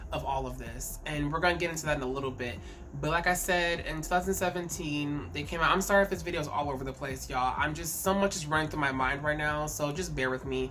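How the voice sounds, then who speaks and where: Talking very fast with ordinary pitch variation, a woman is heard with audible room echo and noticeable background noise. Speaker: K-pop commentary YouTuber. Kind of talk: casual vlog commentary. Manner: halting, repeats words.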